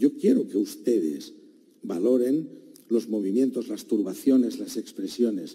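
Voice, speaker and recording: Someone talks at a fairly slow pace with a Catalan accent. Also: man. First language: Catalan (speaking Spanish). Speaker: defense lawyer. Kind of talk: courtroom argument. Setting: courtroom. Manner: formal.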